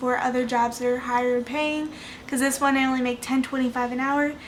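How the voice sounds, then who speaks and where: Soft-spoken and high-pitched, a woman talks in a flat monotone, with audible room echo and noticeable background noise. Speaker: budgeting vlogger. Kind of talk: casual chat. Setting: home at night.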